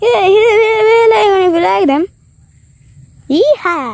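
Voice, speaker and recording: In a put-on character voice of extremely high pitch, the speaker goes at a fairly slow pace with very wide pitch swings. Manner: playful, exclaiming.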